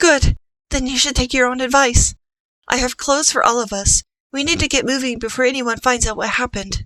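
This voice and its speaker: A female-sounding voice puts on a character at a high pitch. The pace is fairly quick. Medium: read story. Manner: bold, theatrical in disguise.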